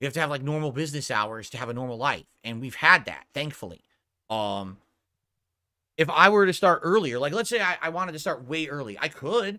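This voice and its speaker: In a very clean recording with a silent background, a man with a fairly high pitch and a bright, sharp tone talks at a fairly quick pace, with very wide pitch swings and big swings in loudness. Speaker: streamer. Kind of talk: casual chat. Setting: home streaming room.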